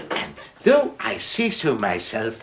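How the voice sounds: Putting on a character voice, a man speaks at a slow pace in a fairly high pitch with very wide pitch swings, a fairly bright tone and vocal fry.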